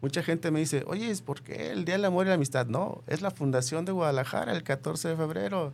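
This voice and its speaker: In a normal speaking voice, a man talks at a fairly quick pace with hardly any pauses, his fairly high pitch carrying lively intonation. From Mexico, Michoacán. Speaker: author. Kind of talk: interview.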